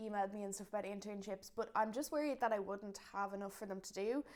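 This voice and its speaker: A woman speaks with a Dublin accent at a fairly high pitch. Her pace is fairly quick. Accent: Dublin Irish. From Ireland, Dublin. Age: 20s. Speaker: small business founder. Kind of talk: casual chat.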